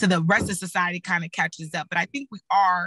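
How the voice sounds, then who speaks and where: Bright and sharp in tone, a woman's medium-pitched voice moves at a fairly quick pace with a slight Texas accent, the sound dry and close with no echo. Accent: slight Texas twang. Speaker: political communication panelist, former candidate. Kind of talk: panel discussion.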